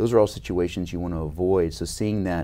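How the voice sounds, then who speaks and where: A man with a very deep, low voice and a dark, mellow tone speaks with vocal fry. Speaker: head and neck surgeon. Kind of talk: interview. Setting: conference. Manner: frequent fillers and repetitions. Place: studio. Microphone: lapel.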